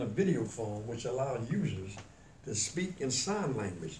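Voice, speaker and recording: A man's pitch swings very widely as he talks at a moderate speed, with noticeable background noise behind him. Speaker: radio talk show host. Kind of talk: news-style read of a report on deaf prisoners.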